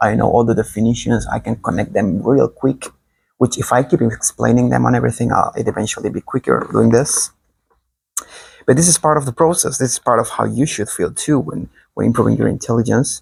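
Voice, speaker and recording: Speech comes in a Spanish accent. It moves at a fairly quick pace. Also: man, dry, close sound with no echo. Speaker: online teacher. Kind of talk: improvised lecture. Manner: fast; animated.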